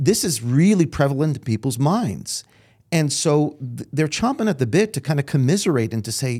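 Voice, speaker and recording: On a very clean recording with a silent background, a man with an American accent speaks at a moderate pace in a dark, mellow tone, his fairly high voice carrying lively intonation. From New York, Brooklyn. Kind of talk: interview conversation. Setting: studio.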